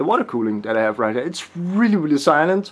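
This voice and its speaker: A man speaks with a strong Danish accent. His pitch is fairly high and his intonation lively. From Denmark. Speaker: tech YouTuber. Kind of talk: casual video tutorial. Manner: hesitant, many fillers.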